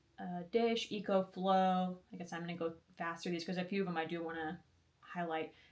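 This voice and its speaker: A soft-spoken woman talks with a fairly low voice. Noticeable background noise is heard behind her. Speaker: RV lifestyle vlogger. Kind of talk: tutorial. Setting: grandmother's home office. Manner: fast.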